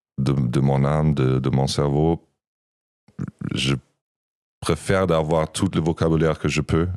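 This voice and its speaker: Speaking with a German accent, a man with a very deep, low pitch talks at a fairly slow pace, leaving long, frequent pauses. His loudness stays very even and his intonation fairly even. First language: German (speaking French). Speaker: podcast co-host and musician. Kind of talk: casual chat. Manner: halting.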